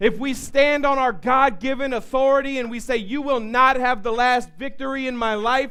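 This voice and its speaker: An animated man speaks at an extremely high pitch with ordinary pitch variation, and room echo is audible. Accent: American. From US South. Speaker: pastor. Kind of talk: sermon. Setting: church. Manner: animated, building intensity; repetitive stammering restarts.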